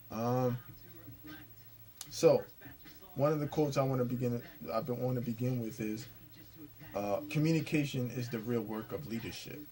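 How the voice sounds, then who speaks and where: A man with a medium-pitched voice speaks at a moderate pace with fairly even intonation and long, frequent pauses. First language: Spanish. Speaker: vlogger / commentator. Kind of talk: casual monologue commentary. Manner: halting, many fillers and restarts.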